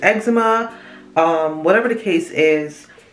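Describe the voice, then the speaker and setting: Faint music plays in the background as a woman speaks at a fairly low pitch. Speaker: mother vlogger. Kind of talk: casual vlog chat. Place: bathroom. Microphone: phone near.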